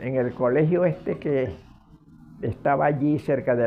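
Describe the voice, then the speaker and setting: Music in the background behind a man at medium pitch, with ordinary pitch variation and a fairly slow pace. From Venezuela, Zulia (Machiques). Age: 80s+. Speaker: retired history teacher. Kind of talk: interview. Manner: halting.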